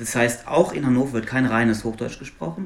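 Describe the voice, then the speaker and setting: A man talks at a moderate pace in a medium pitch, with noticeable background noise behind him. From Luxembourg. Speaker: linguist, university researcher. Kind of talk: interview conversation.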